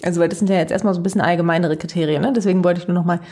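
A woman's voice at medium pitch. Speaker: podcast co-host, university lecturer. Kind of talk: casual chat.

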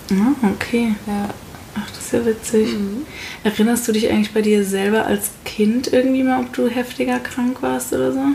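A woman's fairly high pitch and lively intonation carry at a moderate pace through noticeable background noise. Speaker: parenting podcast co-host. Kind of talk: casual chat.

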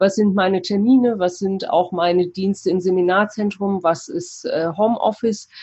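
A woman's somewhat breathy, medium-pitched voice at a moderate pace, with fairly even intonation and hardly any pauses. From Cologne, Germany. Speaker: mindfulness mentor and astrologer. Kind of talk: interview. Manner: hesitant with frequent fillers.

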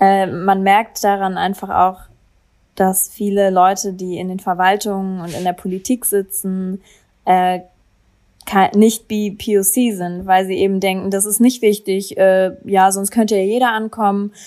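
A woman speaks in a monotone, flat intonation at a fairly slow pace. Her tone is dark and mellow. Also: medium pitch for a woman. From Berlin, Germany. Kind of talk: interview.

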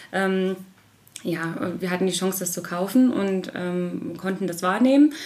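Through audible room echo and noticeable background noise, a woman talks with ordinary pitch variation. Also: medium pitch for a woman, fairly slow pace. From Harz region, Lower Saxony, Germany. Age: 30s. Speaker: hotel and restaurant owner. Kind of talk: interview. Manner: hesitant, many fillers.

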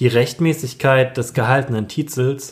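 Somewhat breathy male speech, fairly slow in pace. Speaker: preacher and theology student. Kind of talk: sermon. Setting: church sermon, recorded. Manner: solemn, measured, rhetorical delivery.

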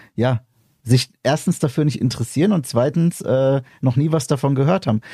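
Lively in intonation and somewhat breathy, a man's medium-pitched voice has a dark, mellow tone at a moderate pace, with a dry, close sound with no echo on a very clean recording with a silent background. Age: 30s. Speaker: podcast host. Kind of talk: casual chat.

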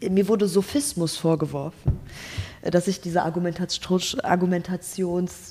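Noticeable background noise sits under this voice. It moves at a moderate pace with ordinary pitch variation. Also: woman, fairly low pitch for a woman. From Germany, Ruhr area (Gelsenkirchen). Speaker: Instagram creator and student. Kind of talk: casual interview.

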